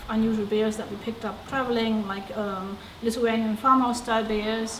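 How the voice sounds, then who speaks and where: A woman with a fairly high pitch speaks in fairly even intonation, against noticeable background noise and audible room echo. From Germany. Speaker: brewery co-owner. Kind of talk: interview.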